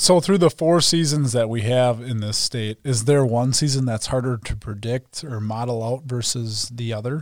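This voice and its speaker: A man with an American accent has an unremarkable speaking voice at medium pitch, with ordinary pitch variation. He talks at a moderate pace with hardly any pauses, on a very clean recording with a silent background. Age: 30s. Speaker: agronomy podcast host. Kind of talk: casual interview.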